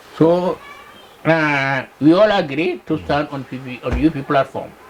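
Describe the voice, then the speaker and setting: Over noticeable background noise, a man speaks fairly slowly in a fairly high voice with ordinary pitch variation and big swings in loudness. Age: 80s+. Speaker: veteran politician. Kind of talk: interview answer. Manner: slow, conversational, hesitant.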